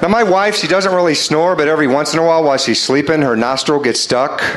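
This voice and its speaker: Over noticeable background noise, a man talks at a very fast pace with a fairly high pitch, ordinary pitch variation and very even loudness. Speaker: stand-up comedian. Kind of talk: stand-up comedy set.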